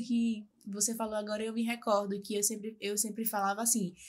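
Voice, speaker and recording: A woman speaks at a fairly high pitch in a somewhat breathy voice. Her intonation stays monotone and flat. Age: 20s. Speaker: lawyer. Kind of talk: interview testimony. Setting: live podcast.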